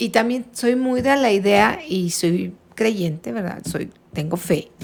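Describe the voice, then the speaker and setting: Very slowly, a woman speaks at medium pitch with very wide pitch swings. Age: 60s. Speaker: retired teacher. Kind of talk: casual chat.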